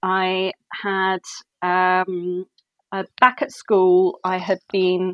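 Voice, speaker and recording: With an English accent, a woman speaks at a medium pitch, very slowly and in a flat monotone, leaving long, frequent pauses in a dry, close sound with no echo. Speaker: book editor. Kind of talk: interview. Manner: halting.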